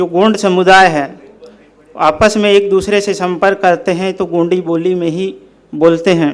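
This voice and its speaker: A man with a high pitch and a Central Indian accent. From Bastar, Chhattisgarh, India. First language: Gondi (speaking Hindi). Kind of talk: talk to an audience. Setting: speaking before a live audience. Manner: formal.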